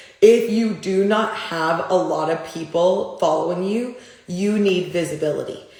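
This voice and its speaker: A woman speaks at a medium pitch with fairly even intonation. The recording has audible room echo and noticeable background noise. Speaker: business coach. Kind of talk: live Q&A.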